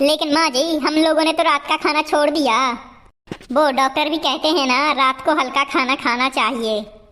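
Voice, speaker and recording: A woman's cartoonish character voice, high in pitch, with fairly even intonation, very even loudness and a moderate pace. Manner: commanding.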